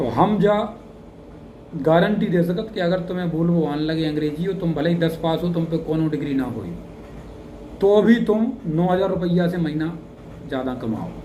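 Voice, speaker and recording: Spoken with a Bundeli accent and ordinary pitch variation, the voice has long, frequent pauses and audible room echo. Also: man, high pitch for a man. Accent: Bundeli-accented Hindi. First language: Bundeli (speaking Hindi). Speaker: English teacher, YouTuber. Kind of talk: motivational talk to camera. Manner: casual, conversational dialect.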